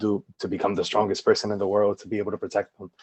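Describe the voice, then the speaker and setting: A man with a New Jersey accent speaks at a fairly low pitch. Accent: New Jersey American English. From New Jersey, Paterson. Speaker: educator and artist, podcast guest. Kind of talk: casual chat. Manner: halting, many fillers.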